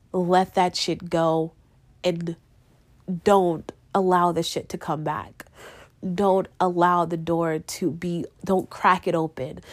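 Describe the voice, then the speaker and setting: A woman speaks in a flat monotone at a very slow pace, with long, frequent pauses, on a very clean recording with a silent background. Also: fairly low pitch for a woman. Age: 20s. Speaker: podcast host. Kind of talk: personal monologue.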